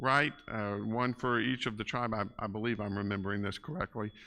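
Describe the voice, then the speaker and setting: A man speaks loudly in a bright, sharp tone on a very clean recording with a silent background. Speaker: Bible class teacher. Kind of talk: Bible class lecture. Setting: church classroom with PA system. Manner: casual, halting with fillers.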